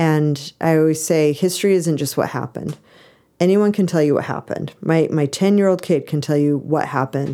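A woman speaks with an American accent at a fairly quick pace. Her very deep, low pitch has a dark, mellow tone and fairly even intonation. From Idaho, US. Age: 40s. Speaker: history professor. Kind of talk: casual interview chat.

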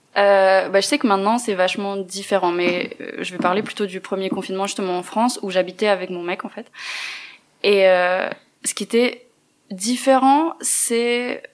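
With long, frequent pauses, a woman talks at a fairly slow pace in a medium pitch, with ordinary pitch variation and big swings in loudness. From Neuchâtel, Switzerland. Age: 20s. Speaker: feminist activist, translation student. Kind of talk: interview.

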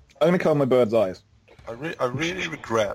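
Noticeable noise fills the background. A man talks through it. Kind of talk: tabletop roleplaying game session.

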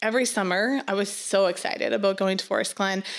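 The audio is spotless, with total silence behind it. The woman's pitch varies in a normal way. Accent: Nova Scotian. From Nova Scotia, Canada (small fishing town). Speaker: missionary. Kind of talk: testimony. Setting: studio.

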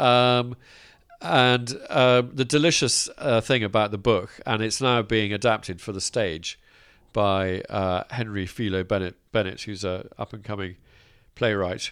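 A man with an English accent, fairly low pitch and ordinary pitch variation. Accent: posh English-sounding. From Scotland. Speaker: landowner, farmer and author. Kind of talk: casual chat. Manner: halting.

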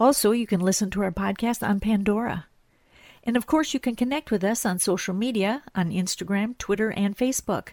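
A woman in an ordinary speaking voice talks at a fairly quick pace and medium pitch with ordinary pitch variation and very even loudness, on a very clean recording with a silent background and a dry, close sound with no echo. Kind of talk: casual interview.

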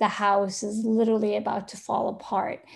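A woman's medium-pitched voice with an Arabic accent at a fairly slow pace, on a very clean recording with a silent background. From Yemen, Sana'a. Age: 50s. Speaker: photographer and artist. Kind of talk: interview. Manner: hesitant, many fillers.

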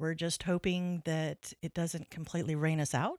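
In a West Texas accent, a woman talks at a fairly quick pace with a very deep, low pitch, recorded very cleanly with a silent background and a dry, close sound with no echo. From Texas (Lubbock). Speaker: nonprofit executive director. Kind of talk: casual interview.

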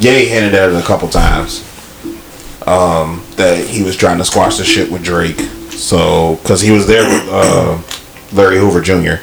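Over noticeable background noise, a man with a very deep, low pitch talks at a moderate pace with ordinary pitch variation. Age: 30s. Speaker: podcast co-host. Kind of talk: casual chat. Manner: animated.

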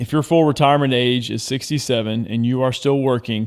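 An unremarkable speaking voice moves at a fairly quick pace in a very clean recording with a silent background. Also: man. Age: 40s. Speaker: financial coach, former baseball player. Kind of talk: casual chat.

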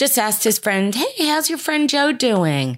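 A voice with a New Jersey accent comes through in a dry, close sound with no echo. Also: woman. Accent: New Jersey American. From New Jersey, US. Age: 60s. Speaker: host's mother, homemaker. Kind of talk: casual interview. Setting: home bedroom.

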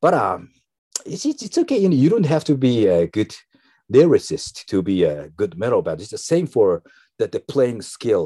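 In a Japanese accent, a man speaks at a moderate pace on a very clean recording with a silent background and a dry, close sound with no echo. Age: 50s. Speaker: metal musician. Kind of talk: interview. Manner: halting.

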